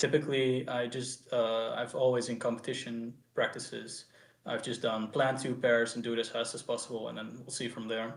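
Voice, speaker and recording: In a Dutch accent, a man speaks at a moderate pace with a medium pitch. His intonation is monotone and flat. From Netherlands. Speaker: speedcuber. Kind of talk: post-match interview. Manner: halting.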